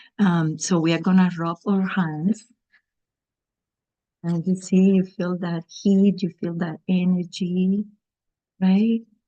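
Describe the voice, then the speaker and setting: A woman with a Cuban accent speaks at a very slow pace with fairly even intonation and a dark, mellow tone, in a dry, close recording with no echo. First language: Spanish. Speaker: garden educator for children. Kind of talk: guided exercise. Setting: video call.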